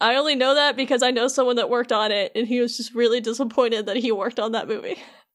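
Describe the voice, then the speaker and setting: Against a quiet background, a woman speaks loudly at a very fast pace, her high-pitched voice keeping fairly even intonation. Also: hardly any pauses. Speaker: podcast host explaining game lore. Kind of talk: casual chat.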